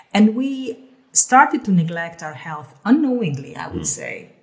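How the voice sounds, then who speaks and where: Noticeable background noise sits behind a woman speaking at a moderate pace. Her intonation is lively. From Hungary. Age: 50s. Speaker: health coach, former airline executive. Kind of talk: casual chat.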